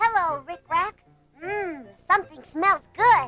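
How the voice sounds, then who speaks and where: An extremely high, put-on character voice at a fairly slow pace. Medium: read story.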